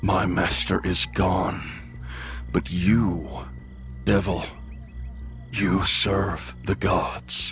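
Growling in a put-on character voice, a man speaks at a very slow pace with a very deep, low pitch and long, frequent pauses, with clear music in the background. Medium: actual play. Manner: halting, formal, short sentences.

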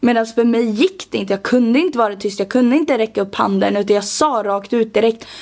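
Talking at a very fast pace with hardly any pauses, a woman uses a fairly high pitch and ordinary pitch variation. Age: 20s. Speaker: podcast co-host and TikTok creator. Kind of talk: casual chat.

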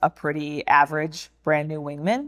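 The recording is very clean, with a silent background. A woman with a very deep, low pitch talks at a moderate pace. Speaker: former fighter pilot. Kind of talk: interview. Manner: soft-spoken.

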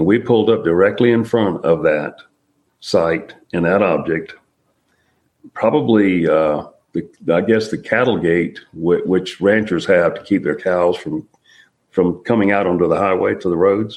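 A man speaks in an unremarkable speaking voice at a fairly low pitch. His pace is fairly slow and his pitch variation is ordinary. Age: 60s. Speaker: military veteran, UFO witness. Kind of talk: interview testimony.

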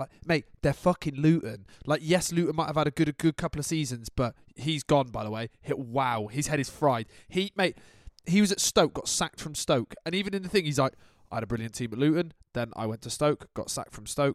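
A man talks fairly quickly with a fairly high pitch and lively intonation in a plain, everyday voice, the sound dry and close with no echo. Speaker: football podcast host. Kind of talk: casual chat. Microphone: crackling, broken mic.

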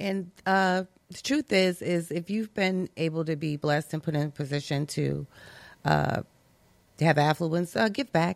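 A normal speaking voice at a moderate pace, with ordinary pitch variation and a dry, close sound with no echo. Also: woman, fairly low pitch for a woman, very clean recording, silent background. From Brooklyn, New York. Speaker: health business owner. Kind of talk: casual chat.

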